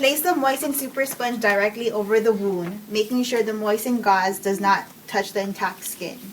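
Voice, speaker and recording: Over noticeable background noise, a woman with a non-native accent speaks at a moderate pace and fairly high pitch, with ordinary pitch variation and hardly any pauses. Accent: non-native accent, self-noted. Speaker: nursing student. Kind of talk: reading procedure steps aloud.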